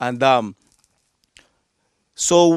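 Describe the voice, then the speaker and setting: The sound of this man's voice is dry and close, with no echo. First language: Yucatec Maya. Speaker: coffee farmer. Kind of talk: interview. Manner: halting, many repetitions.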